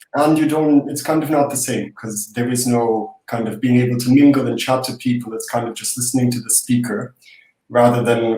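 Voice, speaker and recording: A man's medium-pitched voice at a moderate pace. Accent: Russian. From Ukraine. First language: Russian. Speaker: young professional. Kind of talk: casual interview.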